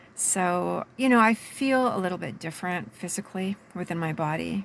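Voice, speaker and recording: Lively intonation marks this woman's unremarkable speaking voice, which has a fairly low pitch and a moderate pace, on a very clean recording with a silent background. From Canada, British Columbia. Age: 60s. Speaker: life coach. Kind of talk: personal video monologue.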